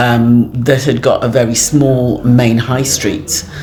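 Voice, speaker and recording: A woman speaks at a very slow pace in a very deep, low voice. The room echo is audible and the background noise is noticeable. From England, Afro-Caribbean community. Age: 60s. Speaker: community elder. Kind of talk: interview. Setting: community centre, on location. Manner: hesitant, many fillers.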